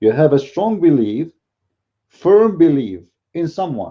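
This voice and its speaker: With a non-native accent, a man talks at a fairly slow pace. His fairly high pitch moves in lively intonation. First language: not English. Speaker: religious commentator. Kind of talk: polemical video commentary. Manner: animated.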